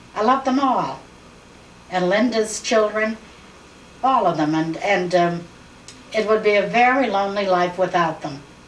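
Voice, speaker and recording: A woman at a medium pitch and a moderate pace, with ordinary pitch variation, long and frequent pauses, noticeable background noise and audible room echo. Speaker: family elder interviewed for oral history. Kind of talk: oral history interview. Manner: halting.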